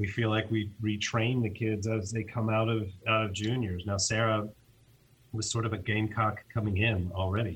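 A man talks at a fairly quick pace in a fairly low, somewhat breathy voice with monotone, flat intonation. The recording is very clean, with a silent background. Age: 40s. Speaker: college tennis head coach. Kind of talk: casual interview. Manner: halting, many fillers and repeats.

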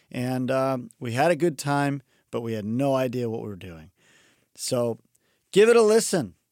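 A man talks at a medium pitch and a moderate pace, with lively intonation. His loudness swings widely, and he takes long, frequent pauses. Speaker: podcast host. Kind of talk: casual chat. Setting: studio.

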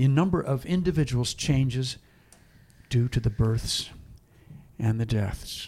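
With a somewhat breathy, dark, mellow tone, a man speaks at a fairly slow pace in a very clean recording with a silent background. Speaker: co-host and preacher.

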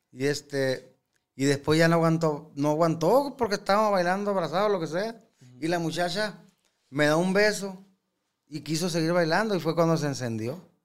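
This man has a high-pitched voice. The rise and fall of his pitch is ordinary. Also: moderate pace. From Sinaloa, Mexico. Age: 40s. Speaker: regional Mexican singer. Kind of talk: casual interview chat. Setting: studio.

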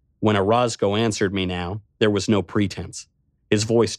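Quiet surroundings behind a natural reading voice.

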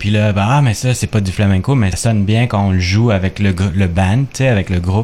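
Fairly even intonation in a plain, everyday voice. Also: man. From Quebec, of Chilean descent. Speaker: guitarist. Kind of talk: radio interview.

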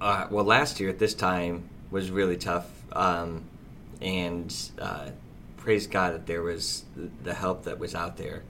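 Very slow and full of long, frequent pauses, a man speaks with an American accent, a very deep, low pitch and a bright, sharp tone. His intonation is fairly even, and audible room echo fills the recording. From US Midwest, Fort Wayne, Indiana. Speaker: restaurant owner. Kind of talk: casual interview.

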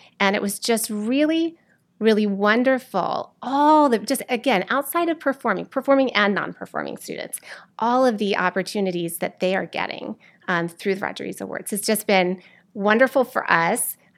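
A woman with a plain, everyday voice talks at a moderate pace with lively intonation. The recording is very clean, with a silent background. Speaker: theater teacher. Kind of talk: casual interview chat.

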